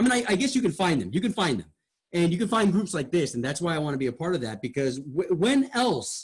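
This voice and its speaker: Speaking at a very fast pace, a man with a high voice sounds animated, his pitch swinging very widely. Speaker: radio host. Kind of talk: feedback discussion. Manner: animated, wide pitch range.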